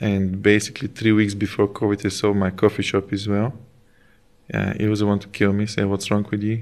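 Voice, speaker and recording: A man with a Bulgarian accent speaks at a fairly quick pace and a fairly low pitch. His intonation is monotone and flat, and the background is quiet. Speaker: chef and food business owner. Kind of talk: casual interview.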